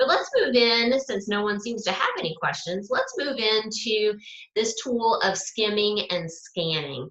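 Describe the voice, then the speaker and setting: An ordinary speaking voice from a woman, fairly high in pitch, with lively intonation at a fairly slow pace. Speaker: student success coach. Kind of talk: live webinar lecture.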